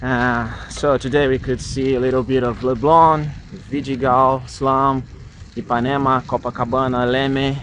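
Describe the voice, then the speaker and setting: The speaker has a Portuguese accent and a fairly slow pace. The intonation stays monotone and flat. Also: man, medium pitch for a man. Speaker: travel vlogger. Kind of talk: vlog narration.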